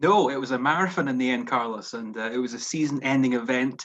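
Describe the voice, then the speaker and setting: A man with a Scottish accent speaks at a very fast pace in a medium pitch with ordinary pitch variation. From Scotland. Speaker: golf analyst. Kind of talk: analysis chat.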